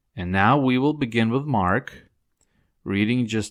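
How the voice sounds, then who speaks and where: The recording is very clean, with a silent background. The speaker has a non-native accent and lively intonation. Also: man. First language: not English. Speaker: Bible study teacher. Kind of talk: Bible study lecture; scripture reading.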